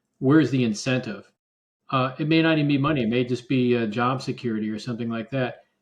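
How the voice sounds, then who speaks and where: A man's medium-pitched voice at a very fast pace, with fairly even intonation. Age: 60s. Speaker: engineer and political candidate. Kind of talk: casual political discussion.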